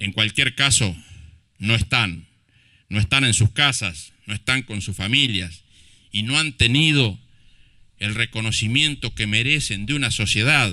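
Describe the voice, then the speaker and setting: Over a very clean recording with a silent background, a man speaks at a fairly slow pace with long, frequent pauses, using a medium pitch, ordinary pitch variation and a bright, sharp tone. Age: 50s. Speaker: mayor. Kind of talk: public speech at commemoration ceremony. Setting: outdoor public ceremony in a plaza. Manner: impassioned.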